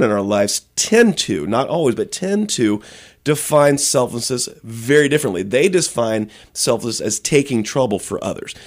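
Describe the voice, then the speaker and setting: A man with lively intonation comes through on a very clean recording against a silent background. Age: 40s. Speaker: pastor and author. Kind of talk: interview. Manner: halting.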